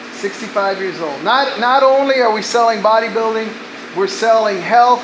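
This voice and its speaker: In an American accent, the speaker goes at a moderate pace with ordinary pitch variation, amid noticeable background noise and audible room echo. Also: man. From Rio Grande Valley, Texas. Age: 60s. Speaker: bodybuilding judge. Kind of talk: short talk to audience. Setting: gym, in front of audience.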